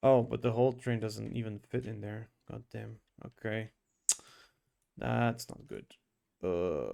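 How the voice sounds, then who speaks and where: Speaking at a fairly slow pace with a non-native accent, a man leaves long, frequent pauses while his loudness swings widely. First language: not English. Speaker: streamer. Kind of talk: live gaming stream. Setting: live stream. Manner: casual, thinking aloud.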